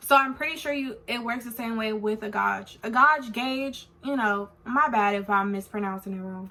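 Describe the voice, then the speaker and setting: A woman with an American accent and a fairly high pitch talks at a moderate pace with hardly any pauses, ordinary pitch variation, and big swings in loudness, over noticeable background noise. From California. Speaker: beauty vlogger. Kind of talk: product review vlog. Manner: casual, filler-heavy.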